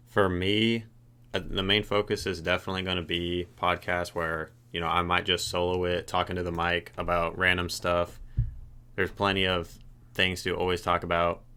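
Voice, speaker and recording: A man's bright, sharp tone sits at a very deep, low pitch, delivered in a monotone, flat way on a very clean recording with a silent background. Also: moderate pace. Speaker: podcaster. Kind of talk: casual solo podcast monologue. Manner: low energy.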